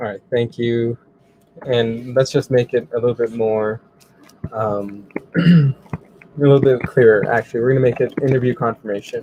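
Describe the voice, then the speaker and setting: At a moderate pace, a man speaks at medium pitch with fairly even intonation, in a dry, close sound with no echo. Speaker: web tutorial presenter. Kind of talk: tutorial. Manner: casual.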